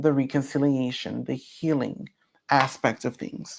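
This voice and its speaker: A woman speaks at a fairly slow pace. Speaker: spiritual teacher. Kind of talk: online class. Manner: loud; animated.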